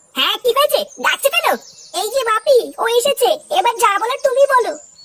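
A woman's cartoonish character voice, squeaky and extremely high in pitch, with lively intonation and a dry, close sound with no echo. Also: moderate pace.

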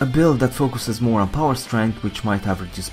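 With music in the background, a man speaks using ordinary pitch variation. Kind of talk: game guide narration.

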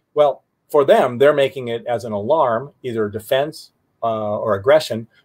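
Quiet surroundings behind a natural reading voice.

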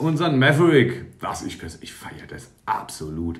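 A man speaks at a very slow pace with vocal fry. Audible room echo surrounds his voice. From Palatinate, Germany; Germany. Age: 30s. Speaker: YouTuber reviewing building-brick sets; toy reviewer. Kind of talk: product review. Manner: halting. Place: home room. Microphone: phone near.

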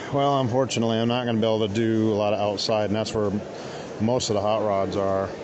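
A man speaks very fast at a fairly low pitch, with monotone, flat intonation and very even loudness. The sound is dry with no echo, and background noise is noticeable. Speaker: vlogger filming a car show. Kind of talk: casual vlog chat. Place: hall. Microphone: phone near.

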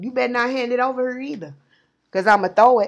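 A woman with a high pitch speaks with fairly even intonation over a quiet background. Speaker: channel host. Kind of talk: casual vlog chat, spiritual storytelling. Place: home room. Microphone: earbuds.

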